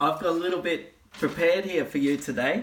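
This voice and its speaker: A man talks at a moderate pace. He has an Australian accent. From Australia (eastern). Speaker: life coach. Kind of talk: casual talk to camera.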